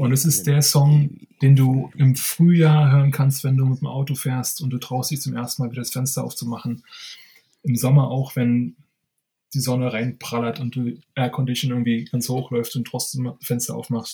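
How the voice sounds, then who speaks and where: At a moderate pace and medium pitch, a man speaks somewhat breathily in a dark, mellow tone with fairly even intonation. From East Berlin, Germany. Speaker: bartender. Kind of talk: casual interview.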